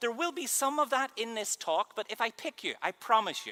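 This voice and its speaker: A man speaks at a fairly quick pace with a Northern Irish accent. The sound is dry and close with no echo. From Northern Ireland. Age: 30s. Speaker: keynote speaker and mind reader. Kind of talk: conference keynote talk. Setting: stage with audience. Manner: animated.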